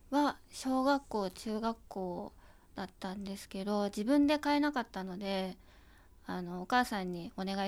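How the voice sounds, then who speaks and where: With an ordinary speaking voice, a woman talks at medium pitch and a moderate pace, showing ordinary pitch variation and big swings in loudness on a very clean recording with a silent background. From Japan, Kanagawa. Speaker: photographer's assistant. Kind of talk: interview.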